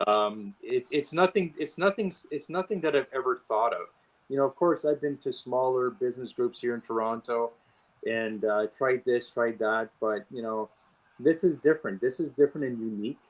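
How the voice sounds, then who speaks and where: Lively intonation from a man with a medium pitch at a moderate pace. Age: 50s. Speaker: interior and event designer. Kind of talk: podcast interview. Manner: halting, many fillers and restarts.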